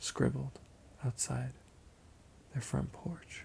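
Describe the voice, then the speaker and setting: A somewhat breathy voice with a dark, mellow tone speaks at a very slow pace. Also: man. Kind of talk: ASMR roleplay, bedtime story. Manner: soft-spoken, slow.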